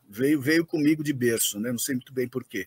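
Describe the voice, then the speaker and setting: Medium-pitched male speech, very cleanly recorded against total background silence. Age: 60s. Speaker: M&A advisor and startup investor. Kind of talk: interview. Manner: hesitant, many fillers.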